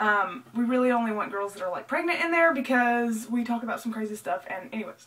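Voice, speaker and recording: Delivered very fast with hardly any pauses, the speech has lively intonation over noticeable background noise. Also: woman, fairly high pitch for a woman. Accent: Southern US. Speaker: vlogger. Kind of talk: casual chat.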